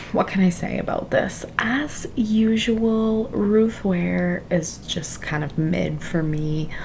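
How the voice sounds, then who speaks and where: A quiet woman at a very slow pace with hardly any pauses, amid audible room echo and noticeable background noise. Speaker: book vlogger. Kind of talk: casual vlog talk. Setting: home library at night.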